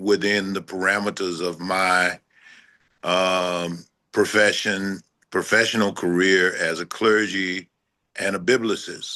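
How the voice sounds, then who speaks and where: A man's very deep, low voice in a flat monotone. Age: old. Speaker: clergy and biblicist. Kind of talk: panel discussion. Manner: halting.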